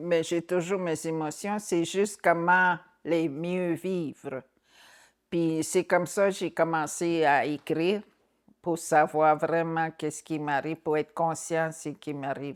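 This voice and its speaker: On a very clean recording with a silent background, a woman with a fairly low voice speaks at a very slow pace with fairly even intonation. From Anicinabe (Algonquin) community, Quebec. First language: Algonquin (Anicinabemowin) (speaking French). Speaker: author. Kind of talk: interview testimony. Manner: halting.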